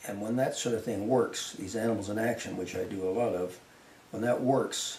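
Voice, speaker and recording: A man with a Canadian accent, medium pitch, ordinary pitch variation and moderate pace, with audible room echo and noticeable background noise. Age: 70s. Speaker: wildlife artist. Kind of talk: interview. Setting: artist's studio. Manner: halting, with many repetitions.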